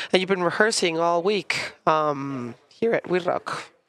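A woman with an American accent speaks at a fairly slow pace and medium pitch. She has an ordinary speaking voice with ordinary pitch variation. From Philadelphia, US. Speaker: podcast host. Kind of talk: casual interview; scripted outro. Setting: studio.

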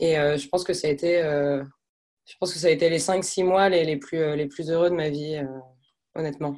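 At a moderate pace, a woman speaks in a very deep, low pitch with monotone, flat intonation. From France. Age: 20s. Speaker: job seeker, former expat. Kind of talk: interview. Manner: hesitant, many fillers.

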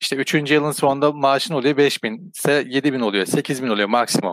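An unremarkable speaking voice from a man, medium in pitch and moderate in pace, on a very clean recording with a silent background. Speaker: crypto YouTuber. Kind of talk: casual chat. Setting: call.

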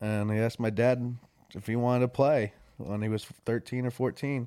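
With an American accent, this man talks in a dark, mellow tone. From Warwick, New York. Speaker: country musician. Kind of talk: casual chat.

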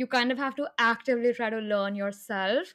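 The background is quiet. A woman speaks with a fairly high pitch and fairly even intonation. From India. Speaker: podcast host. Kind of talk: podcast interview.

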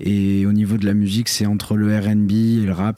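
Fairly low in pitch, a man speaks at a moderate pace in a dark, mellow tone. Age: 20s. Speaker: podcast co-host. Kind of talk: casual chat. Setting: hotel room.

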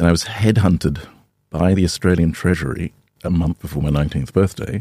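A man's very deep, low voice, dark and mellow with vocal fry, at a fairly quick pace with ordinary pitch variation, in a dry, close recording with no echo. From Australia. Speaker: fintech founder. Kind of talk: interview.

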